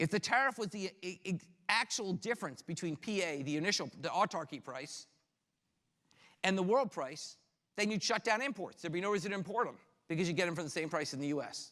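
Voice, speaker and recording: Talking at a very fast pace, a man uses a high pitch, a bright, sharp tone and lively intonation in a very clean recording with a silent background. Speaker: economics professor. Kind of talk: lecture. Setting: classroom with students.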